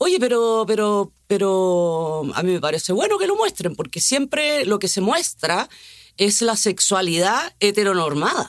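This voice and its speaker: A woman talks at a medium pitch and a moderate pace. Her intonation is lively. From Chile. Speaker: actress. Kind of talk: casual conversation.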